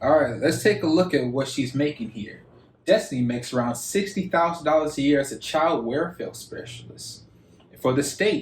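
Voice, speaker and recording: At a moderate pace, a man speaks with an American accent and lively intonation. His pitch is fairly high, and his voice is somewhat breathy. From Michigan, Detroit. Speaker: YouTuber, reaction video host. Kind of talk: reaction commentary.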